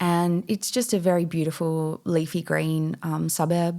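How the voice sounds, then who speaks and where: A woman's fairly low voice with an Australian accent, at a fairly slow pace, in a very clean recording with a silent background. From Western Australia, Perth. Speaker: mindset and meditation coach. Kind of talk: podcast interview.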